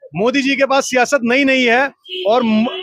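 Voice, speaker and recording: The man's voice sits extremely high in pitch. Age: young. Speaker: street interviewer, political video reporter. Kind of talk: street vox pop interview. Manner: animated.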